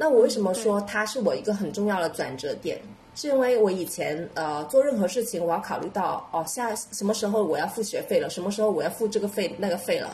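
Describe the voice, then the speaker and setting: A woman's medium-pitched voice with a Cantonese accent and lively intonation, at a fairly quick pace with hardly any pauses, amid noticeable background noise. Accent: Cantonese-accented Mandarin. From Guangdong, southern China. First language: Cantonese (speaking Chinese). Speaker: podcast co-host, entrepreneur. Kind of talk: casual chat.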